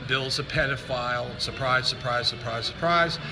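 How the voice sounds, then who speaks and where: The intonation of this man stays fairly even. His voice carries audible room echo along with noticeable background noise. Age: 60s. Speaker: online preacher / political commentator. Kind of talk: monologue video / political rant. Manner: casual, with frequent fillers.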